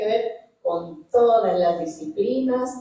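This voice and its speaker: A woman's fairly high voice with audible room echo. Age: 60s. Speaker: scientist. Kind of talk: panel talk. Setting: auditorium with audience.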